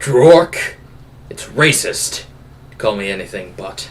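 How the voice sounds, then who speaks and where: Putting on a character voice, a man talks fairly slowly at a medium pitch. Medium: actual play. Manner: teasing.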